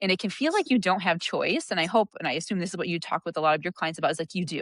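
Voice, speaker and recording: A woman talks at a very fast pace and medium pitch, with ordinary pitch variation. The sound is dry and close, with no echo. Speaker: physician and coach. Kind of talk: interview conversation.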